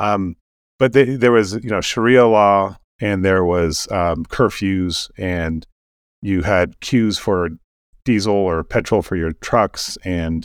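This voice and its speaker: The man's voice is fairly low in pitch, with an American accent. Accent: American-sounding. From Sudan and Kenya, American missionary family. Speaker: tech entrepreneur, bitcoin mining company CEO. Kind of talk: casual interview conversation. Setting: remote call from Kenya. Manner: frequent hesitations, many ums.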